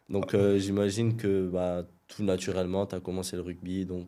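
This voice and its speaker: A man speaks in a very deep, low voice with a dark, mellow tone, flat and monotone at a moderate pace. The recording is very clean, with a silent background. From southern France, Perpignan. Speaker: podcast interviewer. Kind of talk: podcast interview. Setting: studio.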